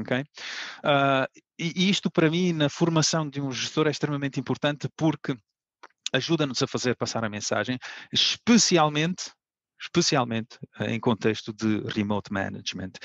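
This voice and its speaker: A man talks in an animated tone with lively intonation and a fairly high pitch, at a moderate pace. His long, frequent pauses sit in a dry, close sound with no echo. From Italy. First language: Italian (speaking Portuguese). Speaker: sales manager. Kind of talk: conference talk. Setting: online conference. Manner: animated, expressive intonation.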